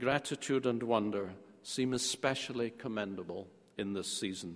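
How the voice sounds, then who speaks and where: With a Scottish accent, a man speaks at a moderate pace. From Scotland. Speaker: theology professor. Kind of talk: lecture.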